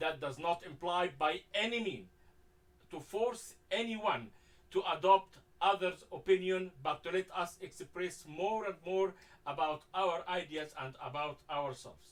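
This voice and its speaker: A man's high-pitched voice with a strong non-native accent, ordinary pitch variation and a fairly slow pace. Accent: heavy foreign. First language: Arabic. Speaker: talk show host. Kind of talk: moderated discussion. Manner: halting, many fillers.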